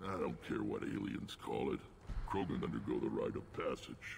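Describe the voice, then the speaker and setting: Amid clear background noise, a man does a put-on character voice. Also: moderate pace, very even loudness. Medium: video game. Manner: gruff, blunt.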